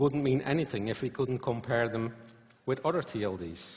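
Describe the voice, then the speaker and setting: A somewhat breathy male voice with lively intonation at a moderate pace. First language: not English or German. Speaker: conference speaker. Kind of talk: conference talk. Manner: halting, many fillers.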